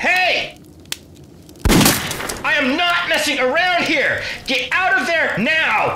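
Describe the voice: A man's put-on character voice, extremely high pitched, bright and sharp in tone, with lively intonation, a slow pace and strong room echo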